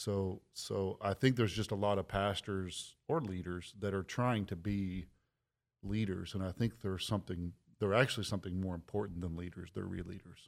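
A man with an ordinary speaking voice talks at a moderate pace, fairly low in pitch and with fairly even intonation, on a very clean recording with a silent background. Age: 40s. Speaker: pastor and author. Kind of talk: podcast interview.

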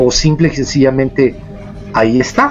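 Medium-pitched male voice over music in the background. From Mexico, San Luis Potosí. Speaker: paranormal investigator. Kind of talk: casual chat.

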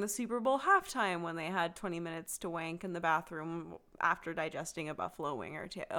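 On a very clean recording with a silent background, a woman with an American accent speaks at a moderate pace in a bright, sharp tone, her fairly low pitch showing ordinary variation. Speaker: podcast host. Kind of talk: casual chat.

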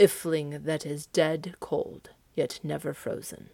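A woman's put-on character voice, very deep and low, at a fairly slow pace. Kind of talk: archaic mythic storytelling. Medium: read story. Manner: solemn, measured, grave.

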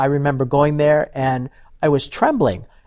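A man with an American accent and a plain, everyday voice speaks at a moderate pace, fairly high in pitch with fairly even intonation, on a very clean recording with a silent background. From US, various states (Navy family). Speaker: ministry speaker. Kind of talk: testimony.

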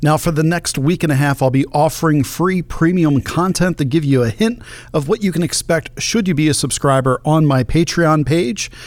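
Hardly pausing, a man with a normal speaking voice and a fairly high pitch talks at a moderate pace with ordinary pitch variation. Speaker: podcast host and political commentator. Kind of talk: political commentary monologue.

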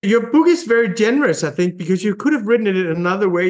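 A man with a Danish accent at a very fast pace. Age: 40s. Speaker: newspaper editor and podcast host. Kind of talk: interview.

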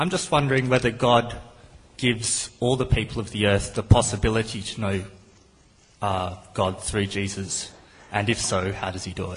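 A man speaks at a moderate pace in a fairly low pitch, with ordinary pitch variation. His voice is somewhat breathy and shows big swings in loudness. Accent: Australian. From Australia. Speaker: audience member asking a question. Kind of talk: audience question.

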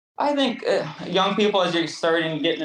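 A man in an Upper Midwest accent. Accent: Upper Midwest American. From southeast Minnesota. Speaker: hoof trimmer and cattle fitter. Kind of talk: interview.

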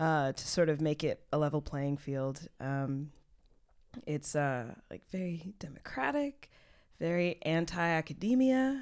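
In a very clean recording with a silent background, a woman with a Texan accent speaks in a very deep, low voice, using lively intonation at a fairly slow pace. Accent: Texan American. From US, Houston, Texas. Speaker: poet, spoken word artist. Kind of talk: casual chat.

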